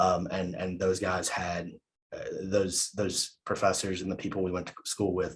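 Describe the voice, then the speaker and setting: Somewhat breathy man's voice, very deep and low, monotone and flat, at a fairly quick pace. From southern West Virginia coal fields. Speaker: professor. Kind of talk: keynote talk. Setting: video call. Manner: repeats words, hesitant fillers.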